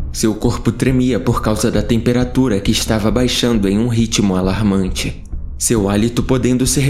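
A man with a medium pitch talks at a moderate pace while music plays in the background. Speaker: horror story narrator.

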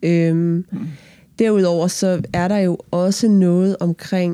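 A woman with a fairly low pitch and a dark, mellow tone. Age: 30s. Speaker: pastor. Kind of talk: interview. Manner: halting.

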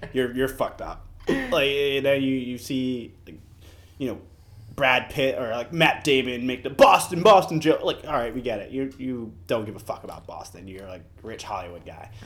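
A man speaks in a normal speaking voice at medium pitch and a moderate pace. His loudness shows big swings. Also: lively intonation. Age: 20s. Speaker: podcast co-host. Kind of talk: casual chat.

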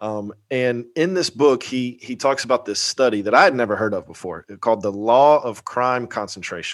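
A man with a normal speaking voice talks at a moderate pace, using ordinary pitch variation. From Atlanta suburbs, US South. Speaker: pastor and podcast host. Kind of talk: casual interview.

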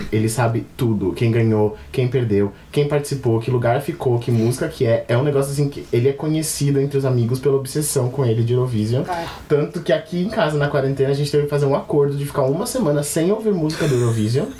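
A man with a dark, mellow tone and a fairly high pitch talks very fast with hardly any pauses, somewhat breathy, his pitch varying in an ordinary way. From São Paulo, Brazil. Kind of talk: casual chat.

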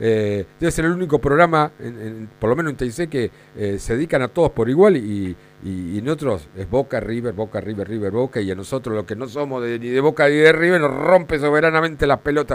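An ordinary speaking voice from a man at medium pitch, with lively intonation and a fairly quick pace. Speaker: fan podcast host. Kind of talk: casual interview.

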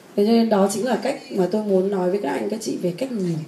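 Through audible room echo and noticeable background noise, a woman talks at a fairly quick pace in a medium pitch with lively intonation. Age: 40s. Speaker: personal development teacher. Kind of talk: lecture.

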